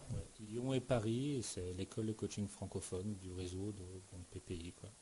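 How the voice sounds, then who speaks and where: At a moderate pace, a man speaks in a fairly low, somewhat breathy voice with a dark, mellow tone and ordinary pitch variation. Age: 40s. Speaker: professional coach and trainer, former tennis player. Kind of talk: interview. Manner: hesitant, with filler words.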